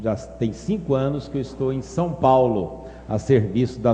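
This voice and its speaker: In a Minas Gerais accent, a man talks at a fairly slow pace with lively intonation and a dark, mellow tone. His voice is somewhat breathy, and audible room echo surrounds it. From Brazil, Minas Gerais. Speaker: pastor. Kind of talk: sermon.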